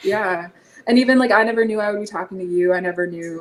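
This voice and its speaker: A woman with a Canadian accent speaks at a fairly quick pace. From eastern Canada. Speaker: energy healer. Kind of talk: interview conversation. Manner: fast.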